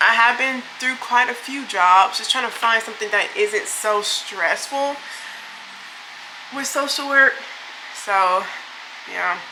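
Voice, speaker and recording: A woman with a high-pitched voice and ordinary pitch variation speaks with long, frequent pauses, with audible room echo and noticeable background noise. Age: 20s. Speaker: beauty vlogger and social worker. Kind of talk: casual get-ready-with-me chat. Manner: casual, filler-heavy.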